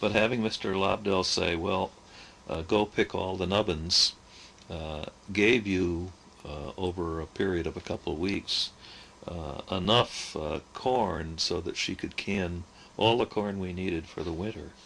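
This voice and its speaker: Very deep and low, a man's voice comes through with an American accent. He speaks at a fairly slow pace. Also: ordinary pitch variation. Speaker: oral history narrator. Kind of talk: oral history recollection. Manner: halting, frequent filler hesitations.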